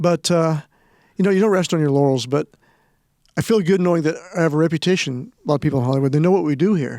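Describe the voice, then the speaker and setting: In a very clean recording with a silent background, a man with an American accent and a dark, mellow tone talks very fast at a fairly high pitch, with ordinary pitch variation, very even loudness, and long, frequent pauses. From Nebraska. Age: 60s. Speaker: film historian and event producer. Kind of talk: interview.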